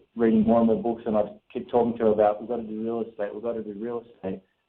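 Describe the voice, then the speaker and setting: Man with an Australian accent at a medium pitch. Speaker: real estate investor. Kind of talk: radio interview. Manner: many fillers and restarts.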